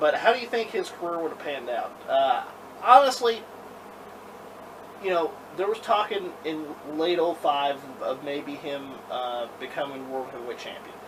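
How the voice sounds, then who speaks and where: Against noticeable background noise, a man with a fairly high voice speaks at a moderate pace, his pitch swinging very widely and his loudness shifting a lot. He leaves long, frequent pauses. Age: 20s. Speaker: wrestling podcast host. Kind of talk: casual chat.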